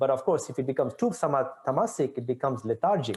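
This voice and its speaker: Somewhat breathy, a man speaks at a fairly quick pace with a fairly high pitch and very wide pitch swings. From India, Pondicherry. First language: Tamil. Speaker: author and innovation expert. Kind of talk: interview. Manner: animated.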